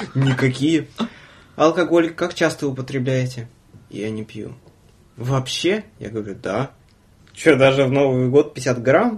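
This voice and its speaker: Speaking at a very slow pace with long, frequent pauses, a man's somewhat breathy voice sits at medium pitch, with ordinary pitch variation and big swings in loudness. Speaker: podcast host, former train conductor. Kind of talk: casual chat. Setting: studio. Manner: soft-spoken.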